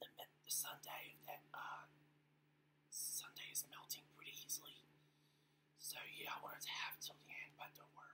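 A woman whispers at a moderate speed, breaking off with long, frequent pauses. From Australia. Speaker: ASMR eating vlogger. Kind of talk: ASMR eating and whispering. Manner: whispered. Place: home room. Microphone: webcam.

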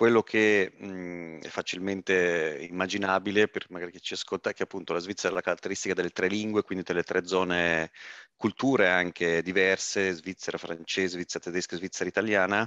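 Against a quiet background, a man with a very deep, low pitch talks at a fairly quick pace in a flat monotone, his tone bright and sharp and the sound dry with no echo. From German-speaking Switzerland. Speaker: rugby club president; guest. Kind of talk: casual interview. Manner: hesitant, many fillers. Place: home room. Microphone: headset.

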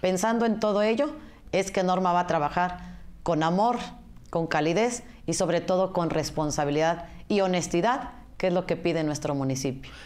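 Lively intonation at a moderate pace, a normal speaking voice, and very even loudness. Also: woman, fairly low pitch for a woman. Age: 40s. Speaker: political candidate. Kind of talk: campaign interview.

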